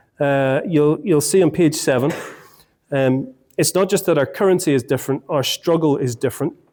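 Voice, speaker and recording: In an Irish accent, the voice keeps a moderate pace and very even loudness with a dark, mellow tone. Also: man, fairly high pitch for a man, ordinary pitch variation, very clean recording, silent background. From Ireland. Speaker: marriage course teacher. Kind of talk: talk to a group. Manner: halting, many fillers and repeats.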